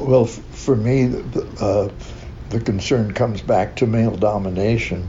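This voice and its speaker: With an American accent, a man with a fairly low voice talks at a fairly slow pace with hardly any pauses and ordinary pitch variation, amid noticeable background noise and audible room echo. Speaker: LGBTQ activist. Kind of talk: interview. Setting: community center. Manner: halting.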